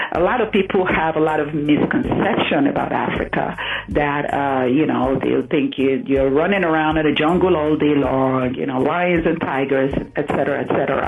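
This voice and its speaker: Very deep and low, this woman's voice has ordinary pitch variation and very even loudness. Noticeable background noise and audible room echo surround her. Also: moderate pace. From Nigeria. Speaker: entrepreneur. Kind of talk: radio interview.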